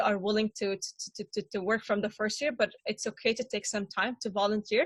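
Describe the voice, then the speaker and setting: A woman with a non-native accent and a fairly high pitch sounds somewhat breathy, speaking at a moderate pace with hardly any pauses, in a dry, close recording with no echo. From Syria. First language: Arabic. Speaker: refugee panelist. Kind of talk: panel discussion. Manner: halting, many repetitions and fillers.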